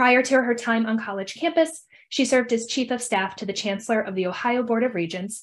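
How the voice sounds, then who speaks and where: Over a quiet background, a woman speaks at a fairly quick pace. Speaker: event host. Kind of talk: speaker introduction. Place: home room. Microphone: webcam.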